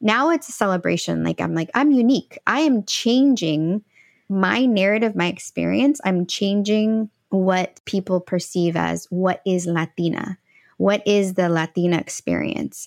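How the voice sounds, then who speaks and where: Over a quiet background with a dry, close sound and no echo, a woman talks fairly slowly in a medium pitch with lively intonation and a plain, everyday voice. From St. Louis, Missouri. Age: 40s. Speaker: empowerment coach. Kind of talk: interview conversation.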